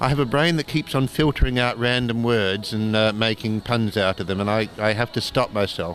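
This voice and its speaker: A man with an Australian accent at a fairly quick pace, hardly any pauses, music in the background. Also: medium pitch for a man, ordinary pitch variation. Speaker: cartoonist and doctor. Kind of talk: interview. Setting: convention.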